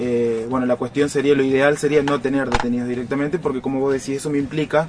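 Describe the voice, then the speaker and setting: The intonation is fairly even and the pace very fast. Noticeable background noise can be heard. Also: man. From Argentina, Rosario (Santa Fe). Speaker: police chief. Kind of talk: radio interview. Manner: halting, with repeated words.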